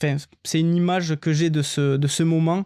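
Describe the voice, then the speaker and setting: A man talks at a moderate pace in a dark, mellow tone with fairly even intonation. The very clean recording is dry and close with no echo and a silent background. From southern France, Albi (Tarn). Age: 30s. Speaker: former marine firefighter, cycling traveller. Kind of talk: podcast interview. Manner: hesitant, many fillers.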